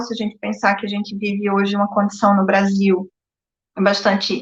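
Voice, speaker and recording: The speaker talks at a moderate pace with a northeastern Brazilian accent. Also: woman. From Brazil, Northeast. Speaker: psychologist. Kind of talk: live-stream interview. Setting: live stream. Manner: hesitant, many filler words.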